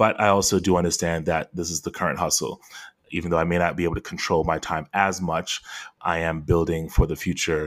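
Monotone, flat intonation comes at a fairly quick pace on a very clean recording with a silent background. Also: man, very deep, low pitch for a man. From Florida (Fort Lauderdale), Jamaican family. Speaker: podcast co-host, father and entrepreneur. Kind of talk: casual chat.

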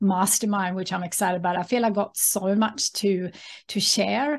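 Against a quiet background, a woman speaks at medium pitch in a somewhat breathy voice. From Sweden. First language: Swedish. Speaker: author and entrepreneur. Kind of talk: casual interview.

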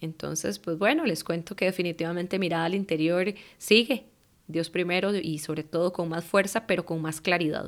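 Very clean, silent-background recording with fairly even intonation and a moderate pace. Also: woman, fairly low pitch for a woman. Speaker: life coach and meditation teacher. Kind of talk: solo podcast monologue.

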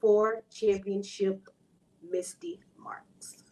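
A woman speaks at a very slow pace. She has an American accent. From Texas, Houston. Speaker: professional wrestler. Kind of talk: casual interview; wrestling promo.

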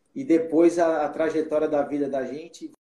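A fairly high-pitched man with a dark, mellow tone, at a fairly slow pace. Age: 40s. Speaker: judge. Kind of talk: interview.

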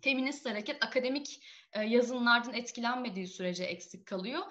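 Speaking at a fairly quick pace, a woman uses a raised, projected voice with a bright, sharp tone and ordinary pitch variation. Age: 20s. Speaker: feminist activist and graduate student. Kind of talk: interview.

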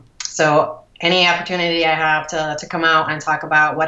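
A woman's very deep, low voice in a Midwestern American accent, monotone and flat, over noticeable background noise. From US Midwest, Cleveland suburbs, Ohio. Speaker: breast cancer survivor and rower. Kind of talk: interview. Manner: halting with many fillers.

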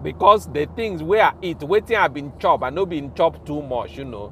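This man's voice sits fairly high and carries lively intonation with big swings in loudness. He talks at a moderate pace, with vocal fry. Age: 40s. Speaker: podcast host. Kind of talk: casual monologue in Pidgin and English. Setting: podcast recording. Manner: casual, conversational, animated.

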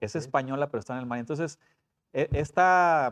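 The speaker has a normal speaking voice with ordinary pitch variation. The pace is fairly quick, over a quiet background. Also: man. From Puebla and Coahuila, Mexico. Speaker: school principal and personal trainer. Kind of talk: casual interview.

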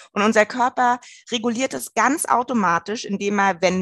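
An ordinary speaking voice at a moderate pace comes through with a dry, close sound and no echo. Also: woman. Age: 30s. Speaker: nutrition coach. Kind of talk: casual interview chat.

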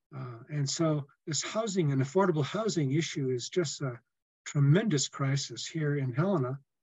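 A man with an American accent speaks at a fairly high pitch and sounds somewhat breathy. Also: ordinary pitch variation, moderate pace. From US Midwest (Indiana). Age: 70s. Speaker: podcast host, political activist. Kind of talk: interview. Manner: halting, many fillers.

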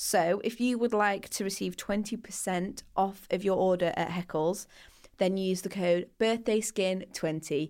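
In a very clean recording with a silent background, a woman speaks with a Mancunian accent. Her pitch is medium and her pace fairly slow. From Manchester, England. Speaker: skincare podcast co-host. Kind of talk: casual chat; sponsor read. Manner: animated.

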